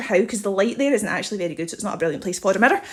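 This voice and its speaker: A woman talks at a very fast pace, her pitch swinging very widely. Noticeable background noise runs underneath. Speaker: home video vlogger. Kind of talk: house tour. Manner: animated.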